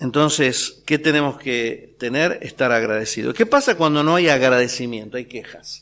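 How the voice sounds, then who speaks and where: Speaking at a fairly slow pace in a Rioplatense accent, a man comes through in a very clean recording with a silent background. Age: 60s. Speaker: preacher. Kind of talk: sermon. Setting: church.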